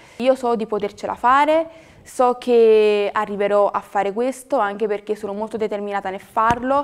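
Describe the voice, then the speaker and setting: A woman with a fairly high pitch talks at a moderate pace, her intonation fairly even. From Naples, southern Italy; southern Italy. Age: young. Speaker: acting student. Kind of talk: testimonial. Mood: earnest, determined, personal. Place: studio.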